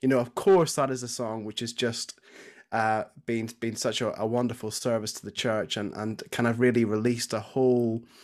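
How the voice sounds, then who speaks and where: A man with a Northern Irish accent speaks at a medium pitch and a moderate pace. His intonation is monotone and flat on a very clean recording with a silent background. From Northern Ireland, Belfast. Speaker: church music and youth minister. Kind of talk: casual interview.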